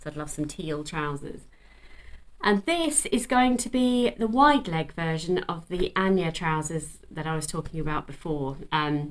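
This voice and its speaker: Speaking at a fairly slow pace with lively intonation, a woman talks in an English accent. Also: fairly low pitch for a woman. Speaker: sewing vlogger. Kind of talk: casual chat. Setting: at home. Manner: animated.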